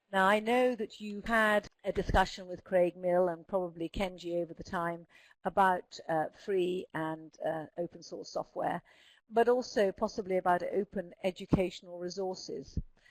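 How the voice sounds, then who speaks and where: Heard dry and close with no echo, a woman with a southern English accent speaks with fairly even intonation and big swings in loudness. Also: medium pitch for a woman, moderate pace. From Scotland. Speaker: speech therapist presenting a webinar. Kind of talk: webinar presentation. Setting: online webinar. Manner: clear enunciation.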